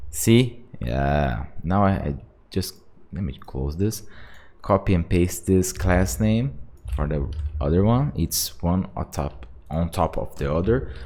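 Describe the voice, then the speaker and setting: Speaking very slowly with a non-native accent, a man with a very deep, low pitch and a dark, mellow tone makes very wide pitch swings. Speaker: software developer. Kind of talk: tutorial. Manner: halting; casual.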